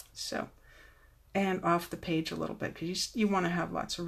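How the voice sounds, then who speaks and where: Soft-spoken, a woman talks at a moderate pace. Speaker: card-making demonstrator. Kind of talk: tutorial. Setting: Facebook Live replay.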